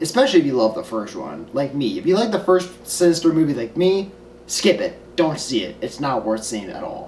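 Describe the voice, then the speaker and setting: A man talks at a fairly quick pace with very wide pitch swings. Noticeable background noise runs behind him. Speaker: film reviewer. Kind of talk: casual vlog review.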